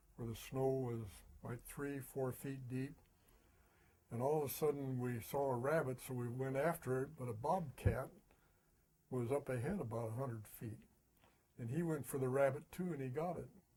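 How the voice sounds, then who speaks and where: A man speaks at medium pitch and a moderate pace, his voice somewhat breathy. His tone is dark and mellow, with fairly even intonation. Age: 80s+. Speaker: retired insurance agent. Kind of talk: interview. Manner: halting.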